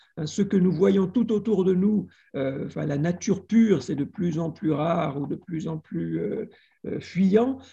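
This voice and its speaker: Very slowly, a man talks in a dark, mellow tone at a high pitch with ordinary pitch variation. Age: 60s. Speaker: literature and media professor. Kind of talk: video call discussion.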